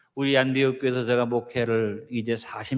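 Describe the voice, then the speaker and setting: A man's normal speaking voice at a moderate pace, in a very clean recording with a silent background. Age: 60s. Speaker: pastor. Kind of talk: sermon.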